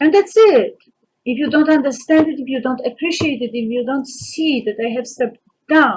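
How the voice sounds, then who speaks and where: In a Polish accent, a woman speaks at a high pitch with ordinary pitch variation. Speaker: vlogger. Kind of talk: personal monologue. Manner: halting.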